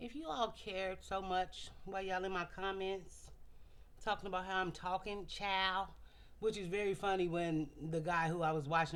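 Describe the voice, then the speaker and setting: Moderate pace from a woman with a fairly low pitch. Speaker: vlogger, commentary channel host. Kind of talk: casual commentary vlog. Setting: home video. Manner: animated, conversational.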